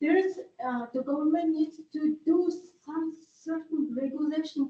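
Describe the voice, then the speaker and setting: A woman with a non-native accent speaks at a fairly slow pace in a high pitch, her tone dark and mellow. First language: not English. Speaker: resident at public meeting. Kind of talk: public comment. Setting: public library meeting room. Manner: halting.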